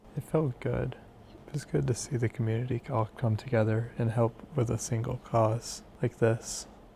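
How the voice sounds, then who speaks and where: In an American accent, a man talks with vocal fry and a dark, mellow tone. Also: medium pitch for a man, ordinary pitch variation, moderate pace. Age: young. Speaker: college student. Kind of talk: interview.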